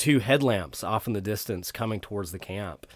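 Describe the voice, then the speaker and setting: On a very clean recording with a silent background, a man speaks in a fairly low voice with ordinary pitch variation. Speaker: pastor and seminary student. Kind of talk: casual chat.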